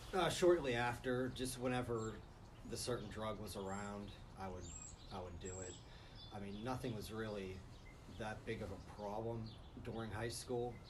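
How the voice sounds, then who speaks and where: Through audible room echo and noticeable background noise, a man speaks at a moderate pace with long, frequent pauses, a medium pitch and ordinary pitch variation. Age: 30s. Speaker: recovering drug addict. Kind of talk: interview testimony.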